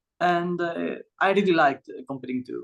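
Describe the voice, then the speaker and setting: A man with a Greek accent speaks with lively intonation. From Greece. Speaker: medical student, olympiad alumnus. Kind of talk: panel discussion. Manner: halting, many fillers.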